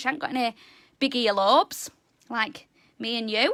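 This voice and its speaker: On a very clean recording with a silent background, a woman talks at a moderate pace with vocal fry. Her voice sits fairly high and shows ordinary pitch variation. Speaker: animal educator. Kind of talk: educational talk. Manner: loud; animated.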